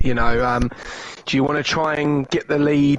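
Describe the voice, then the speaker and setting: Against noticeable background noise, a man with a fairly high pitch talks at a moderate pace. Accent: British. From Britain. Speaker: esports co-commentator. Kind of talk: live commentary.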